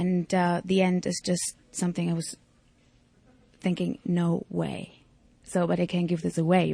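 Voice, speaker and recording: Speaking at a moderate pace, a woman talks with a German accent. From East Germany. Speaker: actress. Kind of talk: interview. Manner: halting.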